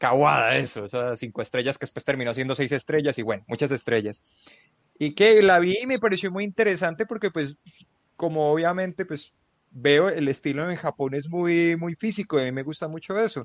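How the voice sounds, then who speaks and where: A man talks at a fairly quick pace and fairly high pitch in a normal speaking voice. His intonation is lively, and the sound is dry and close with no echo. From Colombia. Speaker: wrestling journalist. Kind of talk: casual chat.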